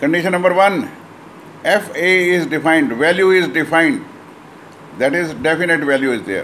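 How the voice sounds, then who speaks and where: A man speaks in a high voice with ordinary pitch variation. Light background noise sits behind him. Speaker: maths teacher. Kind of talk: lecture. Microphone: phone near.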